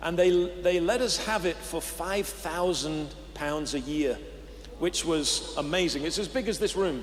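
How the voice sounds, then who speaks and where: A man with a high pitch and an English accent talks at a fairly slow pace, with audible room echo around him. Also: ordinary pitch variation. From England. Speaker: pastor. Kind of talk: interview. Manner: halting.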